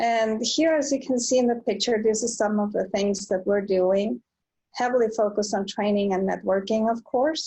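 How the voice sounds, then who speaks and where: A woman speaks in a fairly high, somewhat breathy voice. Her loudness stays very even while her pitch varies in an ordinary way. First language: Spanish. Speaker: nonprofit founder and business owner. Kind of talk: online presentation. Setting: video call from home. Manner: halting, many fillers. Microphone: slow connection.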